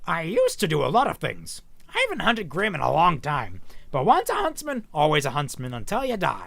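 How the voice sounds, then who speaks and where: A man does a put-on character voice at a fairly quick pace. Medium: read story. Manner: hearty, welcoming.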